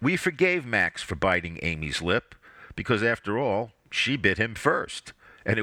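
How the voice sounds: A natural reading voice is heard. It stays that way throughout.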